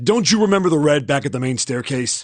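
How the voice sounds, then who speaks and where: In a cartoonish character voice, a man talks raspy and fairly high-pitched at a fairly quick pace. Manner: casual, brash.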